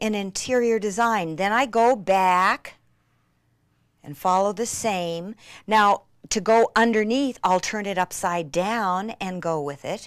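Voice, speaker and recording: A woman's medium-pitched voice, very slow, with ordinary pitch variation. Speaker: craft demonstrator. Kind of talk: craft tutorial infomercial demonstration. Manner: excited, enthusiastic, gasping.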